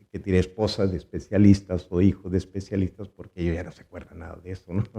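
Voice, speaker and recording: A man's very deep, low pitch and dark, mellow tone. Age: 60s. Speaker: physician. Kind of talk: interview. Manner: halting, with many fillers and repetitions.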